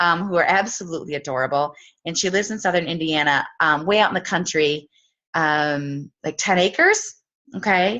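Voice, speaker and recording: The speaker talks at a moderate pace with a Wisconsin accent. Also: woman, fairly low pitch for a woman, ordinary pitch variation. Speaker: team leader. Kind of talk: casual introduction on video call. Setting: video call.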